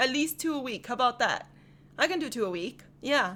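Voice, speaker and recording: A woman speaks loudly at a high pitch with lively intonation. Her tone is bright and sharp. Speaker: anime rap reaction youtuber. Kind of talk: casual reaction commentary. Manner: animated.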